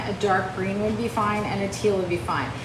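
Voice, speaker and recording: Over noticeable background noise and audible room echo, a woman speaks at medium pitch. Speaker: painting teacher. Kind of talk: live painting tutorial. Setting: livestream. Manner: fast.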